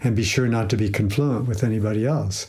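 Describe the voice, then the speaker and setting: Somewhat breathy male voice with ordinary pitch variation and audible room echo. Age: 70s. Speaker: psychologist and institute president. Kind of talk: interview. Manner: halting, with many fillers.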